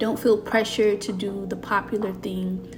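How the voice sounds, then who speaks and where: With music in the background, a woman speaks in a warm tone at a moderate pace. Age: 30s. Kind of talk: motivational talk to camera. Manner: warm, encouraging.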